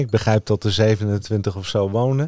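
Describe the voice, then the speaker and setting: In a very clean recording against a silent background, a man speaks at a fairly low pitch. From Netherlands, Utrecht area. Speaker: podcast host. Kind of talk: casual chat.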